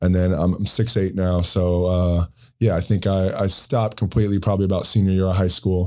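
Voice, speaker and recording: Dark, mellow tone at a fairly quick pace, monotone and flat, with very even loudness on a very clean recording against a silent background. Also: man, very deep, low pitch for a man. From Jacksonville area, Florida. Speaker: basketball coach. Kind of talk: casual interview. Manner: hesitant, many fillers.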